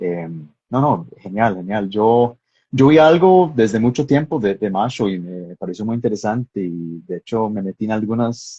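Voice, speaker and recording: With a strong Texan accent, a man speaks at a fairly slow pace and a fairly low pitch. His pitch varies in an ordinary way. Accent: American (Texan) accent in Spanish, strong. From Texas. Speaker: filmmaker and screenwriter. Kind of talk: interview in a live stream. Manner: hesitant, many fillers.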